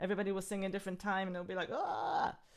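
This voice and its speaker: Speaking very fast in an animated tone, a woman with an Israeli accent has a medium pitch. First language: Hebrew. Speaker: singer and workshop leader. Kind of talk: live online music workshop talk. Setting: live video stream.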